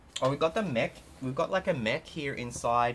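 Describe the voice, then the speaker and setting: Over light background noise, a man speaks in a bright, sharp tone with lively intonation. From Australia. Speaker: LEGO YouTuber. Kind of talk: product haul video. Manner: animated. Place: home room.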